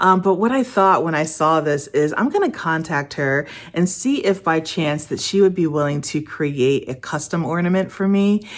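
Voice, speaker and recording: A woman speaks in a normal speaking voice with a fairly low pitch and lively intonation. Her pace is moderate with hardly any pauses, on a very clean recording with a silent background. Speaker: lifestyle vlogger. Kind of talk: casual vlog talk to camera.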